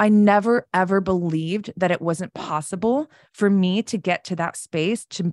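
In a very clean recording with a silent background, a woman with an American accent talks fairly slowly in an ordinary speaking voice, her medium pitch showing ordinary variation and the sound dry and close with no echo. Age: 40s. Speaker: self-mastery coach and podcaster. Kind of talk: casual interview chat.

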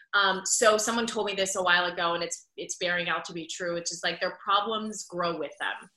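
In a normal speaking voice, a woman with an American accent talks at a fairly quick pace with hardly any pauses, her medium pitch in fairly even intonation. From Pittsburgh, Pennsylvania. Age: 30s. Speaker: former TV news anchor, podcaster. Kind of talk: interview conversation.

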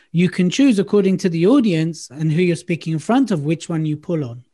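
Against a quiet background, a man with a high pitch and dark, mellow tone speaks at a fairly quick pace with ordinary pitch variation. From London. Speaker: public speaking coach. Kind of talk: casual chat. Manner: animated.

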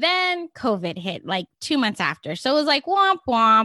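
A woman's bright, sharp, animated voice with very wide pitch swings at a moderate pace, dry and close with no echo, over a quiet background. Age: 50s. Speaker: podcast host and online marketing coach. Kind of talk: solo podcast monologue.

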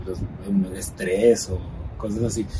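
Over noticeable background noise and audible room echo, a man with a fairly low pitch talks at a moderate pace with ordinary pitch variation. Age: 30s. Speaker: political scientist and communicator. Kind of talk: personal interview. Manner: halting, many repetitions.

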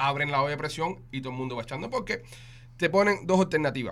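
A man at medium pitch with vocal fry, ordinary pitch variation, and a very fast pace. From Cuba. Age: 30s. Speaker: podcast host. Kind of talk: casual chat.

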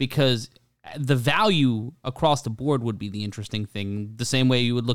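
A man with an American accent at a fairly quick pace, with ordinary pitch variation and a dry, close sound with no echo. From Brooklyn, New York. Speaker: podcast host. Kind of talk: casual chat.

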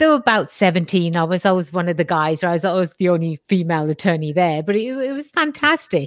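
A woman with a British accent speaks at a fairly quick pace, her fairly low voice carrying lively intonation. She leaves hardly any pauses. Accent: English (British), noticeable. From England. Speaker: lawyer and entrepreneur. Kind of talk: casual interview.

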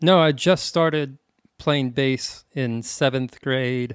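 In an ordinary speaking voice, a man with an American accent talks at a fairly high pitch with fairly even intonation, in a very clean, dry, close recording with no echo and a silent background. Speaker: musician. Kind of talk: casual chat. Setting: podcast interview.

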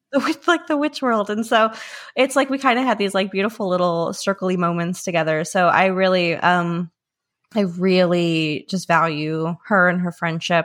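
A woman with a plain, everyday voice, medium pitch and an American accent speaks at a moderate pace with lively intonation. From US South, small country town. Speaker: magazine editor and podcast host. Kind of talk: casual interview.

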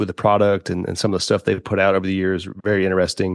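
A man with a Southern US accent at a fairly low pitch, against a quiet background. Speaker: podcast co-host. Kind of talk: casual interview.

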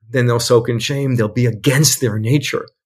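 Somewhat breathy, the man's voice moves with ordinary pitch variation. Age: 60s. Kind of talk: casual interview conversation.

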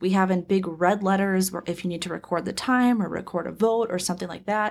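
On a very clean recording with a silent background, a woman with an American accent talks at a fairly quick pace in an ordinary speaking voice, at medium pitch with fairly even intonation. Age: 20s. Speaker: political party executive director. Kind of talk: interview. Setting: studio.

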